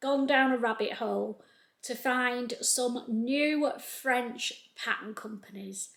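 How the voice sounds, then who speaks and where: Speaking very slowly in a Lancashire accent, a woman with a high pitch keeps her intonation fairly even. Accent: North Lancashire. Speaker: sewing youtuber. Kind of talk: casual tutorial-style chat. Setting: home sewing room.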